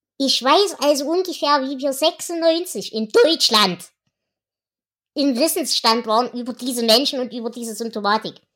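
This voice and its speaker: High in pitch, a woman speaks at a fairly slow pace with lively intonation. The recording is very clean, with a silent background. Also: big swings in loudness. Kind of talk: casual chat.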